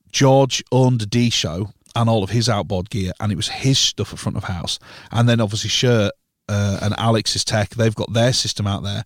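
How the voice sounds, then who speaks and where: This voice carries a Yorkshire accent and fairly even intonation. The sound is dry and close with no echo, on a very clean recording with a silent background. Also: man, medium pitch for a man, moderate pace. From northern England, York. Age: 30s. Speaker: live sound engineer. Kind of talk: casual chat.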